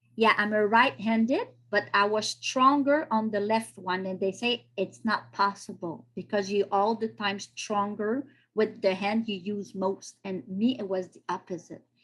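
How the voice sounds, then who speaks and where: A woman with a French-Canadian accent talks at a fairly slow pace in a medium-pitched voice. Her pitch varies in an ordinary way, while her loudness swings widely. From Quebec, Canada. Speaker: podcast guest sharing health story. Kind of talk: interview testimony. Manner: halting, searching for English words.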